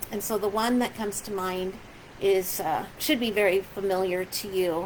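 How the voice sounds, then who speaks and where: Her pitch sits in the medium range for a woman, and she talks at a moderate pace with fairly even intonation. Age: 60s. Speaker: pastor. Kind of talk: casual video message to congregation. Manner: halting, many fillers.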